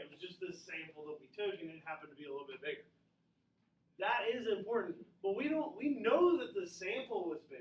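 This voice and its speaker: Audible room echo surrounds a man talking at a very fast pace. His intonation is lively, with big swings in loudness. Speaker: high school statistics teacher. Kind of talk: classroom lecture. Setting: classroom with students.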